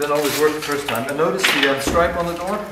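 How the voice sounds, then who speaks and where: A man speaks with ordinary pitch variation amid loud background noise and audible room echo. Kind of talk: casual vlog chat. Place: garage. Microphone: helmet.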